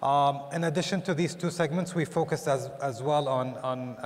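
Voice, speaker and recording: This man's voice shows ordinary pitch variation. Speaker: tourism authority executive. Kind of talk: panel discussion. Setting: stage with audience. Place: stage. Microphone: lapel.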